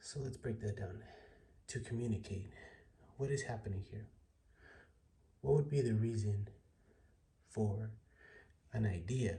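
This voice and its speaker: A man talks at a moderate pace in a fairly low, somewhat breathy voice with a dark, mellow tone. His pitch variation is ordinary, and he leaves long, frequent pauses. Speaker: online tutorial creator. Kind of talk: tutorial.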